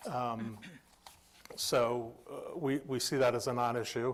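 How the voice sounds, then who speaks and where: A medium-pitched male voice. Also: very clean recording, silent background. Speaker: applicant's representative. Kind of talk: public meeting hearing. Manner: halting.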